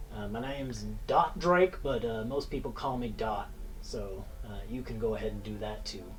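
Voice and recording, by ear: A man's gravelly, put-on character voice at a moderate pace, with clear background noise.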